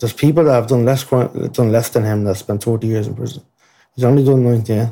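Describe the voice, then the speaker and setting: Speaking with an Irish accent, a man uses a medium-pitched, dark, mellow voice with fairly even intonation at a moderate pace. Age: 20s. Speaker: murder trial witness. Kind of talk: testimony.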